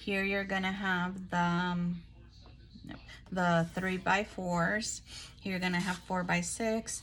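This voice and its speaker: A woman at a medium pitch with monotone, flat intonation, at a very slow pace with long, frequent pauses and audible room echo. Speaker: crafting YouTuber. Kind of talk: product haul show-and-tell. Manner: boisterous.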